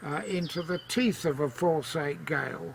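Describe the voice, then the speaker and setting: A man speaks at a very slow pace in a high pitch. Background noise is noticeable. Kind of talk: reading from father's writings and interview.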